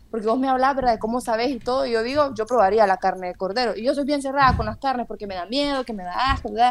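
A woman speaks very fast in a high pitch with hardly any pauses and ordinary pitch variation. Noticeable background noise is present. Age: 20s. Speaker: university student podcast host. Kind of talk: casual interview.

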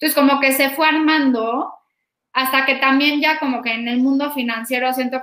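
This woman projects a raised voice with a bright, sharp tone, high in pitch with ordinary variation, at a moderate pace. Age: 30s. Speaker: health startup founder. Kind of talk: interview.

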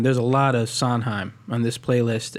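A man speaks at a medium pitch. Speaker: podcast co-host. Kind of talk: casual chat.

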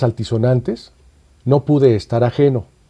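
This man has a medium-pitched, somewhat breathy voice with a dark, mellow tone. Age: 60s. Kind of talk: scripted narration. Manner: formal.

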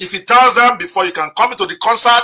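A man's raised, projected voice sits at an extremely high pitch. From Nigeria. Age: 50s. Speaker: podcast host and moderator. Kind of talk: interview and impassioned commentary. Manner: animated.

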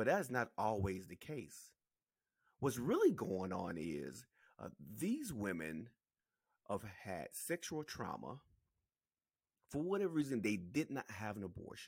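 This man's fairly low voice carries vocal fry, very wide pitch swings and big swings in loudness. He talks at a fairly slow pace with long, frequent pauses. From South Carolina. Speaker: podcast host. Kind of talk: solo political commentary. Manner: casual, repetitive.

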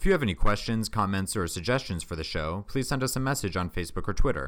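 Here a man speaks in an unremarkable speaking voice, fairly low in pitch and at a fairly quick pace. The recording is very clean, with a silent background. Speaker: podcast host. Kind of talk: casual podcast chat.

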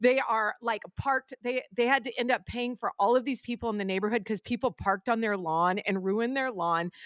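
A woman with a normal speaking voice and a fairly high pitch talks fairly quickly with hardly any pauses and ordinary pitch variation, in a very clean, dry, close recording with no echo and a silent background. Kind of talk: casual chat. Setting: studio.

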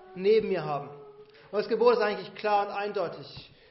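A man with a high-pitched voice. The room echo is audible. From Bavaria, rural. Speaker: pastor. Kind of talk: sermon.

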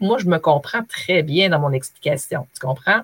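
A woman with an ordinary speaking voice talks at a moderate pace with lively intonation, on a very clean, dry, close recording with a silent background and no echo. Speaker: former teacher, online trainer. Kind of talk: interview.

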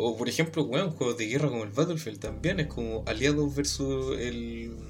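Over noticeable background noise, a man with a Chilean accent speaks at a moderate pace. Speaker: podcast co-host. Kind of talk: casual chat.

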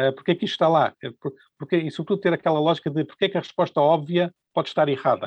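This man speaks very fast in a high voice. His pitch varies an ordinary amount. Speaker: economics professor. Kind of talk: interview. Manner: halting, with repetitions.

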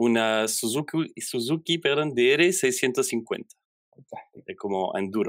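At a very slow pace, a man speaks with lively intonation. The recording is very clean with a silent background, and the sound is dry and close with no echo. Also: medium pitch for a man. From Belgium. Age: 30s. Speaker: software developer. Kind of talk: interview. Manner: halting.

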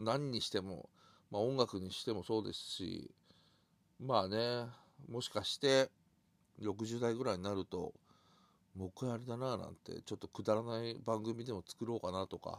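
On a very clean recording with a silent background, a man speaks in a relaxed tone at a moderate pace. His medium pitch varies in an ordinary way, and the sound is dry and close with no echo. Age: 50s. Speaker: podcaster. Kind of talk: casual monologue. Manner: relaxed, halting with fillers.

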